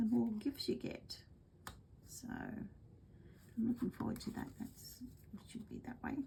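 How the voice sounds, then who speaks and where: Speaking at a fairly slow pace, a woman with an Australian accent has a fairly high pitch, ordinary pitch variation, a dark, mellow tone and vocal fry. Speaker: craft demonstrator. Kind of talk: craft tutorial livestream. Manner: goes quiet when concentrating; casual, chatty.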